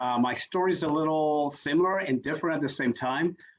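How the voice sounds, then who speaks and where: The speaker has a Spanish accent and talks at a very fast pace. Pitch variation is ordinary. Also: man. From Puerto Rico. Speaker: executive coach. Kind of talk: panel discussion.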